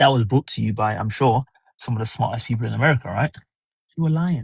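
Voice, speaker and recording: Recorded with a dry, close sound and no echo, a man with a British accent speaks in a somewhat breathy voice. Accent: British accent (own remark). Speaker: livestreamer, commentary host. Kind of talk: casual livestream monologue, opinion commentary. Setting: solo livestream at home. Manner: conversational, hesitant with fillers.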